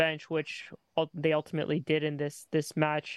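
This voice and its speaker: The man's voice is fairly high in pitch, with a dry, close sound and no echo. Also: quiet background. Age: 30s. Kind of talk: casual chat.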